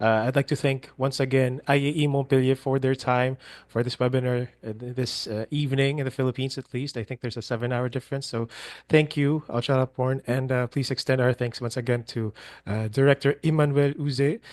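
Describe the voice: A man speaks at a medium pitch with a slightly mellow tone. His intonation stays fairly even, and his pace is fairly quick.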